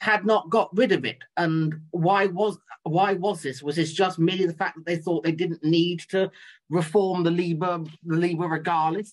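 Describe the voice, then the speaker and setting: A man's high-pitched voice at a moderate pace, with fairly even intonation. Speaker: audience member asking questions; audience member. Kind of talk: audience Q&A. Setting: video call. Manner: halting. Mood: polite, formal. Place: home room. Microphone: video call.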